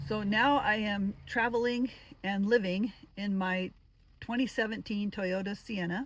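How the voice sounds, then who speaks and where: A woman's somewhat breathy voice at a medium pitch, fairly even in intonation and at a fairly slow pace. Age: 60s. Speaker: retired solo van traveler, vlogger. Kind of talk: casual vlog talk to camera. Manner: halting, with fillers.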